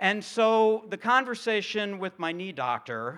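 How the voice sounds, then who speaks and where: On a very clean recording with a silent background, a man uses a raised, projected voice that is high in pitch and bright, sharp in tone. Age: 50s. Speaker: pastor. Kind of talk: sermon.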